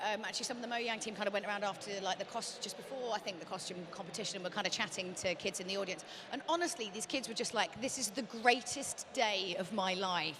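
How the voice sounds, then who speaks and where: A woman of medium pitch talks at a very fast pace with hardly any pauses and ordinary pitch variation, over noticeable background noise. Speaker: event show host. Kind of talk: casual interview chat. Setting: studio.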